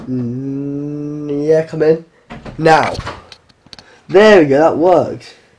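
A very slow pace broken by long, frequent pauses. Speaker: vlogger. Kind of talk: casual vlog.

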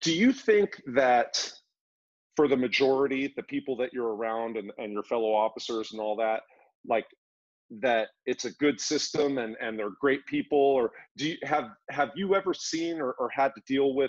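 A man speaks at medium pitch and a moderate pace. His pitch varies in an ordinary way against a quiet background. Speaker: podcast host. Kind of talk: casual interview. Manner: casual. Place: home room. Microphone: video call.

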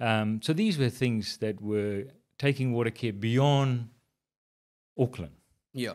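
A man at a fairly slow pace with ordinary pitch variation, against a quiet background. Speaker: podcast guest. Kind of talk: interview answer. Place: studio. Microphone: studio mic.

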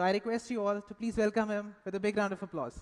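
A man speaks fast in a high voice for a man. His tone is clear and smooth. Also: fairly even intonation.

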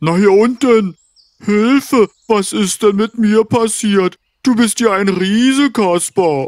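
A man's cartoonish character voice, high-pitched and fairly slow. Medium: puppet. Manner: pleading, then grateful.

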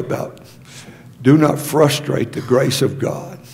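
At a fairly slow pace, a man speaks against noticeable background noise. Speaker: pastor. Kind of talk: sermon.

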